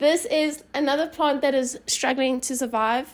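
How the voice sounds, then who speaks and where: A woman speaks with a Johannesburg accent. Her pitch is high and her pace moderate. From South Africa, Johannesburg. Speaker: university student. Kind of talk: casual home tour interview. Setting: her apartment, filmed on camera.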